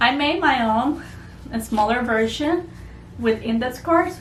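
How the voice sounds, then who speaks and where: A woman with a fairly high voice and lively intonation speaks at a fairly slow pace, with audible room echo and noticeable background noise. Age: 20s. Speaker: homeschooling mother and former teacher. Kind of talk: tutorial.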